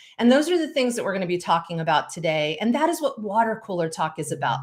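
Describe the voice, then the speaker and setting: A loud woman at a medium pitch, passionate in tone with very wide pitch swings, on a very clean recording with a silent background. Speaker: speakers bureau owner and live show host. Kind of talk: solo livestream talk. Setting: live stream.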